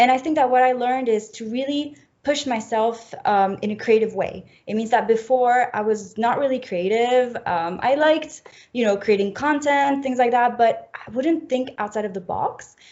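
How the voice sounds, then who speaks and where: In a French accent, a woman speaks at a high pitch and a moderate pace. Her pitch variation is ordinary. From French-speaking Switzerland, near Geneva. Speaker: fashion graduate. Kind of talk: interview.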